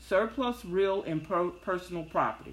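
A woman speaks with a Southern US accent and ordinary pitch variation. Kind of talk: casual talk, solo monologue. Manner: chatty, upbeat, filler-heavy.

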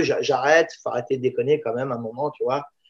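A man's plain, everyday voice, fairly high in pitch, with fairly even intonation. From Paris banlieue (La Courneuve), born in Israel. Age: 50s. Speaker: Thai boxing teacher. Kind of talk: casual interview.

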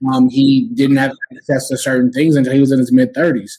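Speaking with an American accent, a man uses a fairly high pitch. His pace is fairly quick and his intonation fairly even. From Texas (San Antonio) and Oklahoma. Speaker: political activist. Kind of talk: interview conversation. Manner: halting, many fillers and repeats.

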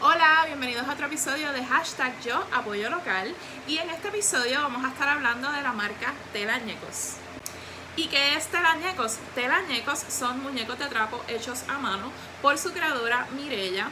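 A woman speaks in a raised, projected voice with a high pitch and lively intonation. Noticeable background noise and audible room echo fill the recording. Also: moderate pace. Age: 30s. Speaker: podcast host. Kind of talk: casual monologue.

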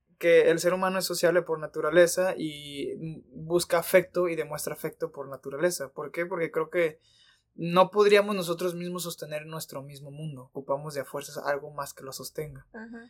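A normal speaking voice at a moderate pace, with big swings in loudness and fairly even intonation. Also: man, fairly high pitch for a man. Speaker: podcast co-host. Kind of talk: casual chat.

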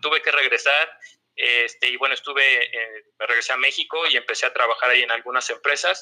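A man with a Mexico City accent at a moderate pace. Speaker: sales negotiator in energy sector. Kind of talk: interview. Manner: halting.

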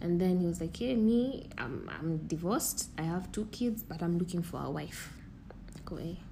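Lively intonation from a fairly low-pitched woman, moderate in pace, with audible room echo. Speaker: podcast host. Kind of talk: casual chat.

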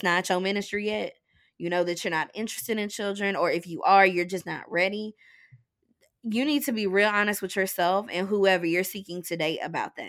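On a very clean recording with a silent background, a woman of medium pitch speaks at a fairly quick pace with ordinary pitch variation, in a plain, everyday voice. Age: 20s. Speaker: writer, blogger and podcaster. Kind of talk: casual chat.

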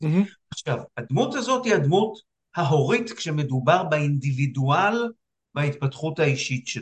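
Fairly high male voice at a moderate pace with very wide pitch swings. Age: 60s. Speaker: psychiatrist. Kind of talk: casual chat. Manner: halting.

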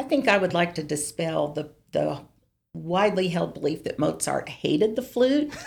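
A woman with a fairly low pitch talks at a moderate pace, her voice making very wide pitch swings. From Tennessee. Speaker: flutist and university administrator. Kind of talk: interview.

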